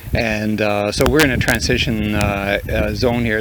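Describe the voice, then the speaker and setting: With a Manitoban accent, a man speaks at medium pitch with monotone, flat intonation, while audible room echo and noticeable background noise come through. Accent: Canadian (Manitoba). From Canadian Prairies (southeastern Manitoba). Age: 60s. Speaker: farmer. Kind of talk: interview. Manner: halting, many fillers.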